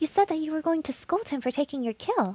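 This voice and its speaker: A woman uses a put-on, squeaky character voice at a high pitch with very wide pitch swings. She talks at a very fast pace, with a dry, close sound and no echo. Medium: virtual streamer. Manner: hesitant, polite.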